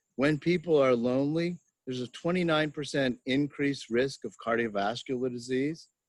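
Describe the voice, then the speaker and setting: Here a man uses a plain, everyday voice, fairly high in pitch with ordinary pitch variation, at a moderate pace in a dry, close sound with no echo. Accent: American. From Pennsylvania. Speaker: psychology professor. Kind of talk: interview.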